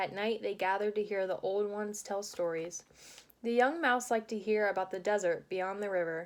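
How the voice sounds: In a natural reading voice, the pitch moves with ordinary variation.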